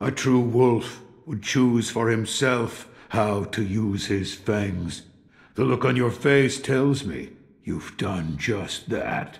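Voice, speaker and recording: Very slowly and in a put-on character voice, a man speaks at medium pitch with ordinary pitch variation. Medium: video game. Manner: measured, wry.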